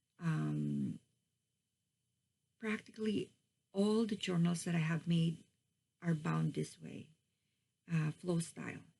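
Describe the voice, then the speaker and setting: A woman with a non-native accent speaks very slowly, leaving long, frequent pauses. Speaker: crafting YouTuber. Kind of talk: craft tutorial / show-and-tell. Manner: slow, halting with many fillers.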